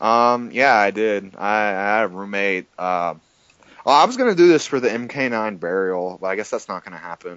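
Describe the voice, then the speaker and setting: Here a man talks in a fairly low pitch with ordinary pitch variation. His loudness swings widely. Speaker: fighting game player. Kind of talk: casual chat. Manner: fast.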